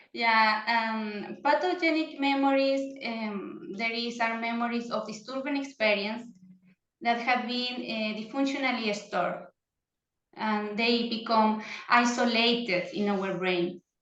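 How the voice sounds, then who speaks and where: Fairly slow speech in a Chilean Spanish accent, with audible room echo. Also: woman, fairly high pitch for a woman, ordinary pitch variation. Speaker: psychotherapist. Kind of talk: interview. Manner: halting.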